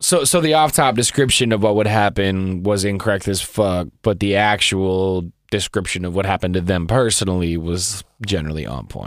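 Moderate pace and ordinary pitch variation in a man's fairly low-pitched voice. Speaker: podcast co-host. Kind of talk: casual chat. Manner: halting, many fillers.

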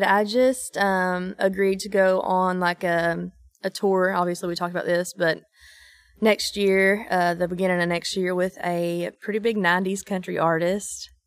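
On a very clean recording with a silent background, a woman with an Eastern Kentucky accent speaks at a moderate pace and medium pitch with fairly even intonation. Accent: Eastern Kentucky Appalachian. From East Kentucky. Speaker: country singer-songwriter. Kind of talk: casual interview chat.

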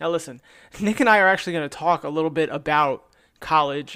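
The voice has a bright, sharp tone and keeps a moderate pace. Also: man, very clean recording, silent background. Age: 30s. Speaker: podcast host and police officer. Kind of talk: monologue.

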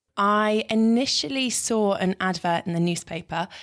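A woman speaks with a British accent. The recording is very clean with a silent background. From Britain. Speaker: TV weather presenter. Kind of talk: interview.

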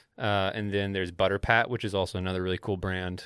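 Fairly low-pitched man with an American accent, bright and sharp in tone, at a fairly quick pace, on a very clean recording with a silent background. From US South. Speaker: fashion newsletter writer. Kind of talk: casual chat. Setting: studio.

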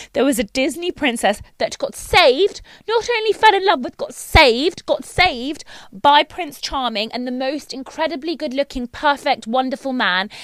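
In a British accent, a woman with a high pitch and very wide pitch swings talks at a moderate pace, the sound dry and close with no echo. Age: 30s. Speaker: dentist and recurring podcast guest. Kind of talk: casual chat.

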